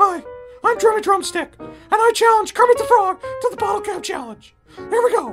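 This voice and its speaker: Faint music plays in the background. The cartoonish character voice moves at a moderate pace. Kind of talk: comedy sketch. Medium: puppet.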